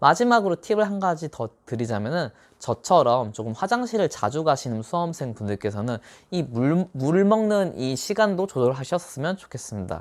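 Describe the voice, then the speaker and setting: Very wide pitch swings run through this moderately paced speech, recorded very cleanly against a silent background. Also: man, fairly high pitch for a man. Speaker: tax accountant giving exam advice. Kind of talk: monologue tutorial. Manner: speeds up toward the end.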